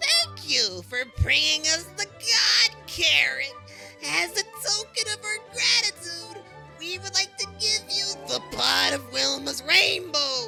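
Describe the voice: In a cartoonish character voice with a bright, sharp tone and vocal fry, a woman speaks at an extremely high pitch with lively intonation and a slow pace, faint music playing in the background.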